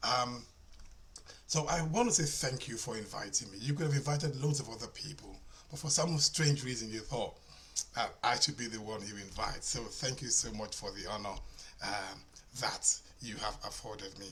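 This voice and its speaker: A man at medium pitch talks at a moderate pace with ordinary pitch variation, long, frequent pauses and big swings in loudness, with audible room echo and noticeable background noise. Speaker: minister and conference speaker. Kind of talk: conference talk.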